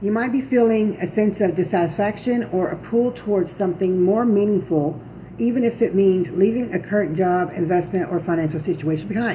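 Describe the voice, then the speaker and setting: A woman talks with hardly any pauses at a medium pitch and ordinary pitch variation. Noticeable background noise can be heard. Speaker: tarot reader. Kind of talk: tarot reading. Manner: halting; reading from notes.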